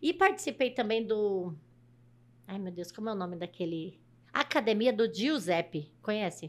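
A woman with a fairly high pitch talks at a moderate pace, her intonation lively and her loudness swinging widely. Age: 50s. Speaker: truck driver; podcast guest. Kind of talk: casual chat. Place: studio. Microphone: studio mic.

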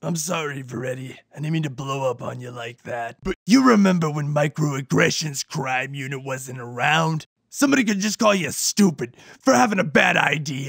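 Here a man speaks at a moderate pace. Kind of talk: parody cop-drama acting. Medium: comedy sketch.

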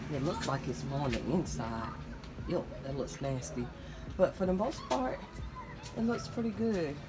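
Speech at a moderate pace competes with loud background noise. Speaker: home decor vlogger. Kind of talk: casual vlog chat. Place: street. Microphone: phone near.

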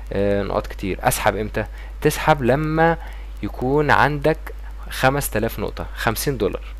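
A man with a Cairo accent speaks at a moderate pace. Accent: Egyptian Arabic (Cairene). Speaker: YouTuber. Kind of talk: tutorial. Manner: casual.

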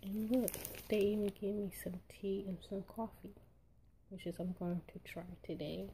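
A woman's medium-pitched, somewhat breathy voice with a dark, mellow tone, at a moderate pace with fairly even intonation and long, frequent pauses. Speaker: unboxing vlogger. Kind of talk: casual talk to camera.

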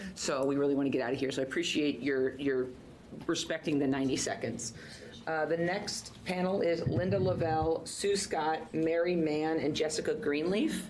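Very even loudness and ordinary pitch variation over noticeable background noise. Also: woman, very deep, low pitch for a woman, moderate pace. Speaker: committee chair. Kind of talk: public hearing chairing. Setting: legislative hearing room. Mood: brisk, polite. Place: hall. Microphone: podium.

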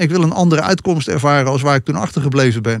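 A man's fairly high voice with ordinary pitch variation, dry and echo-free over a quiet background. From Netherlands, Rotterdam; Netherlands. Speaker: regression therapist; podcast guest. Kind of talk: interview conversation. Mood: reflective, earnest. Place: studio. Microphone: studio mic.

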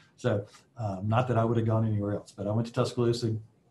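A somewhat breathy man with an Alabama accent, monotone and flat in intonation, over light background noise. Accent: Southern US (Alabama). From US South, Alabama. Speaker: aerospace executive; guest. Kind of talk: guest lecture with Q&A. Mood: relaxed, friendly. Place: office. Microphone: video call.

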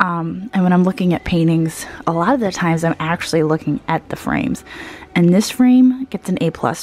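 Using a normal speaking voice, a woman talks at a fairly quick pace with a fairly low pitch and lively intonation. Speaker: vintage reseller vlogger. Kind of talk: casual vlog chat. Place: shop. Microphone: phone near.

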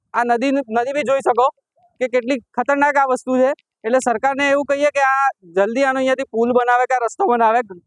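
Extremely high male voice with fairly even intonation and very even loudness, in a dry, close sound with no echo. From Gujarat, Aravalli district. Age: 20s. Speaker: villager. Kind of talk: street interview.

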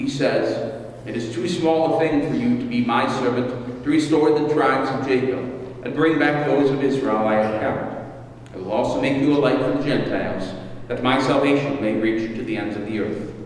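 Speech comes at a moderate pace with strong room echo and light background noise. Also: man, ordinary pitch variation. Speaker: minister leading worship. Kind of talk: scripture reading. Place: church. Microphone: podium.

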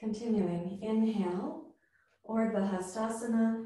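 With audible room echo, a woman speaks in a somewhat breathy, dark and mellow voice at a fairly high pitch with ordinary pitch variation. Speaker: yoga teacher. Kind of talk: guided yoga class, calling out poses and breath cues. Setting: live or online class, morning practice. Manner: clear, brisk, rhythmic instructional commands synced to breath; calm, encouraging, warm. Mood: calm, soothing. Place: home room. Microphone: camera far.

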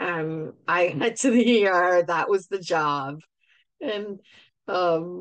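Lively intonation marks a woman's fairly low-pitched voice. The sound is dry with no echo, over a quiet background. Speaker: show host. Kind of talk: casual vlog chat. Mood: amused storytelling, laughing often. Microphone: webcam.

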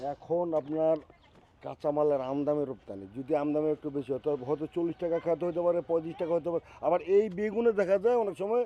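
Lively intonation marks a man's unremarkable speaking voice, pitched fairly high. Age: 60s. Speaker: farmer. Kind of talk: casual conversation. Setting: outdoors in a vegetable field.

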